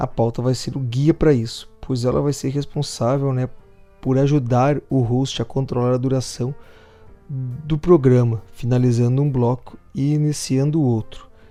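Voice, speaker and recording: Over music in the background, a man talks at a fairly slow pace with medium pitch and monotone, flat intonation. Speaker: podcast workshop instructor. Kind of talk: lecture.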